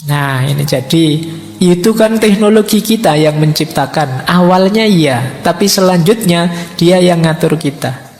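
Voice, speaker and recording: At a fairly slow pace, a man with a high pitch and ordinary pitch variation speaks amid audible room echo and noticeable background noise. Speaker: philosophy teacher at religious study gathering. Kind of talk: lecture. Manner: soft-spoken.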